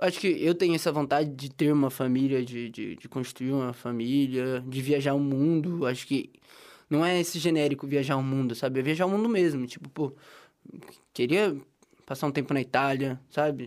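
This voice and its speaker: On a very clean recording with a silent background, a man with a plain, everyday voice and fairly high pitch talks at a moderate pace with ordinary pitch variation. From interior of São Paulo state, Brazil. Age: 20s. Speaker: journalism student. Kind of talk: casual interview.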